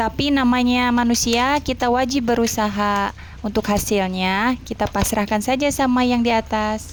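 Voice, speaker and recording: At a moderate pace with hardly any pauses, a woman speaks at a fairly high pitch, her loudness very even and her intonation fairly even. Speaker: housewife vlogger. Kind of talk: casual vlog narration while doing housework. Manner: halting.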